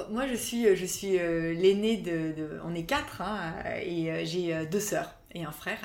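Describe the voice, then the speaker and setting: A woman's fairly low voice with ordinary pitch variation at a very slow pace, amid audible room echo and noticeable background noise. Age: 30s. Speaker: cultural mediation consultant. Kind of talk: interview. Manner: halting, many repetitions and fillers.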